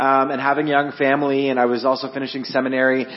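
Talking at a very fast pace in a fairly high voice, a man with a Canadian accent is heard with audible room echo and noticeable background noise. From Ontario, Canada (Guelph). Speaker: worship director. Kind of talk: interview and sermon. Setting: church.

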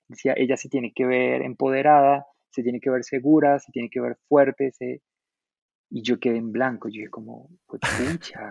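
This man has an unremarkable speaking voice at medium pitch, with fairly even intonation and a moderate pace. The sound is dry and close, with no echo. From Colombia, Boyacá. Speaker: illustrator. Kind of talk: casual chat.

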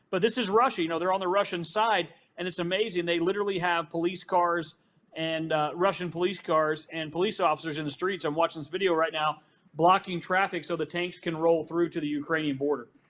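Words come out very fast. The intonation remains fairly flat. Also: man. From Arkansas. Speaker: news reporter. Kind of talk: panel discussion.

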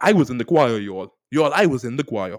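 A man speaks, his pitch swinging very widely. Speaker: podcast host. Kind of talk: solo podcast monologue on mental health.

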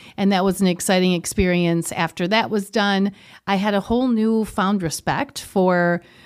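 A woman speaks in an Upper Midwest accent. Her pitch variation is ordinary. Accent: Upper Midwest American. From Wisconsin, US (Kenosha). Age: 40s. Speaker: yoga studio owner. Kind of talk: interview.

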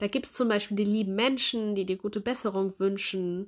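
On a very clean recording with a silent background, a woman with a bright, sharp tone speaks at a moderate pace. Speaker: podcast host, life coach. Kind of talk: solo podcast monologue, advice. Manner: warm, friendly.

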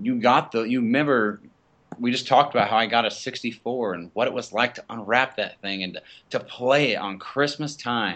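Loudness swings widely as a man with an ordinary speaking voice talks at a medium pitch, a moderate pace and with ordinary pitch variation. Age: 20s. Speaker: aspiring podcaster. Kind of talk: casual chat.

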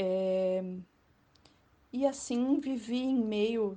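Her voice sits fairly high in pitch. This woman's tone is dark and mellow. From Florianópolis area, Santa Catarina, Brazil. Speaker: journalist and tour guide. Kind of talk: interview.

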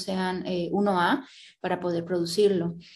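This woman talks in a flat monotone at a medium pitch. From Colombia (Cali). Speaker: writer and graphic designer. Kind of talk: interview.

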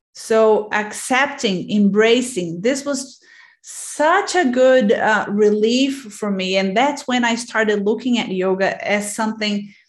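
Hardly pausing yet at a very slow pace, a woman with a Portuguese accent speaks at a fairly high pitch amid audible room echo. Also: ordinary pitch variation. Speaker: podcast host and yoga teacher. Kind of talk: interview.

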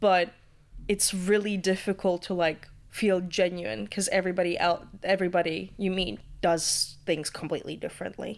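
Delivered at a moderate pace with ordinary pitch variation, this voice speaks in a Latvian accent. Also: woman, medium pitch for a woman. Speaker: student radio presenter. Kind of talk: casual interview chat.

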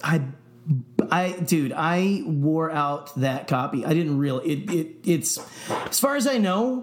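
A man talks in a fairly high voice. Audible room echo surrounds his speech. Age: 30s. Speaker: podcast co-host. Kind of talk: casual chat. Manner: animated.

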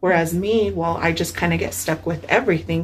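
A woman talks at a fairly quick pace with an American accent. Her pitch is very deep and low, with vocal fry. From San Luis Valley, Colorado. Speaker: newspaper reporter. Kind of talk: casual interview chat.

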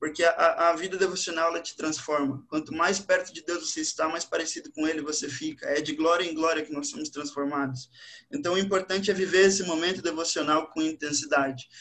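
Barely pausing, a high-pitched man speaks at a fairly quick pace in a bright, sharp tone with ordinary pitch variation. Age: 20s. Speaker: language teacher and church youth leader. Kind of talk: casual religious panel discussion.

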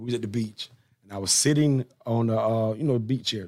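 A man with a Southern US accent talks at medium pitch. His pace is fairly quick and his pitch variation ordinary. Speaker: podcast host. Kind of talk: casual interview chat. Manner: animated.

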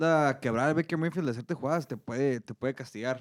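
Here is a man with an ordinary speaking voice, at a medium pitch and with ordinary pitch variation. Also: very clean recording, silent background. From Mexico. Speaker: accountant and sports pundit. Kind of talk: casual sports talk show. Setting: studio.

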